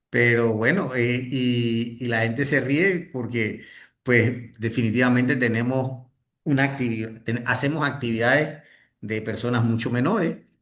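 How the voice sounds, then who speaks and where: A fairly slow delivery with audible room echo. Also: man, medium pitch for a man, fairly even intonation. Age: 60s. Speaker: network marketing leader and trainer. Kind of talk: motivational training talk. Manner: halting, with many restarts.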